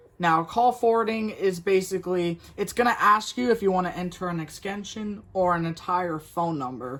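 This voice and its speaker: A man talks with hardly any pauses in a high pitch. His pitch varies in an ordinary way. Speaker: tech reviewer. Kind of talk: tutorial. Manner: fast; halting.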